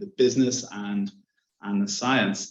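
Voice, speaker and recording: A man with an Irish accent. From Ireland. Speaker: science and strategy consultant. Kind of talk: panel discussion.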